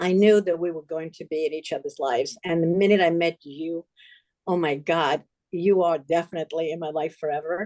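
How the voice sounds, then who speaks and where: Recorded with a dry, close sound and no echo, a woman of fairly low pitch speaks at a moderate pace in a dark, mellow tone with fairly even intonation. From Poland. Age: 70s. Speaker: charity founder, Holocaust survivor. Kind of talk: interview, life story.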